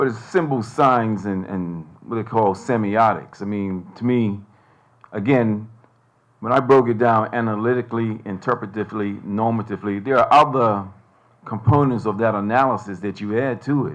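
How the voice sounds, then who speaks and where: Using fairly even intonation, a man with an American accent talks at a moderate pace. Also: medium pitch for a man. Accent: sounds American, can switch to Bermudian. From Bermuda. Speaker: panelist, academic. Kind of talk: panel discussion. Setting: stage with audience.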